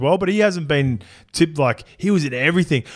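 Speech comes at a very fast pace with an Australian accent. The background is quiet. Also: man. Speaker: rugby league podcast host. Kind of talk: casual chat. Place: studio. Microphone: studio mic.

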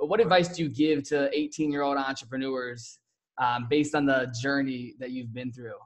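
A man's fairly high voice with ordinary pitch variation, a moderate pace and a quiet background. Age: young. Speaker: podcast host. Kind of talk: casual interview. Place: home room. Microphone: studio mic.

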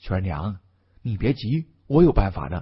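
A man puts on a character voice, low-pitched with a husky, rough edge. He keeps a moderate pace with big pitch swings.

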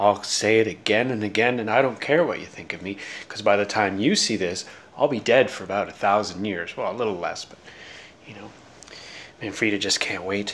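Fairly quick speech with ordinary pitch variation and big swings in loudness. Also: man, fairly low pitch for a man. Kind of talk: casual vlog chat. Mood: playful, mock-serious. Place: kitchen. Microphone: phone near.

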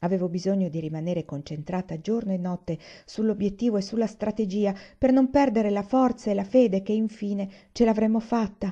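Over a quiet background, a woman with a medium pitch speaks at a fairly quick pace in a dark, mellow, somewhat breathy tone that is solemn and dramatic, with ordinary pitch variation.

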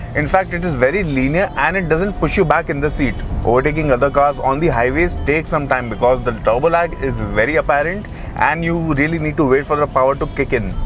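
Clear music plays behind a man speaking at a very fast pace. His voice has ordinary pitch variation and a dry sound with no echo. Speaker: car reviewer. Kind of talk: car review commentary. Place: car.

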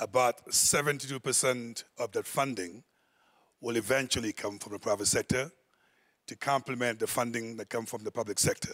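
A man at a moderate pace against a quiet background. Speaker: conference panel moderator. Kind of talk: moderated panel discussion. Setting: stage with audience. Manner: animated. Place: hall. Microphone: handheld.

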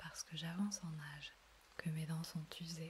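Whispering and soft-spoken at a fairly slow pace, the voice comes with noticeable background noise. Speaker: audiobook / ASMR reader. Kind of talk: soft-spoken bedtime story reading. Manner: whispered, soft, slow.

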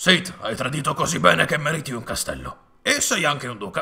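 A man at a fairly high pitch and a moderate pace. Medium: fan dub. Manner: pompous, exasperated.

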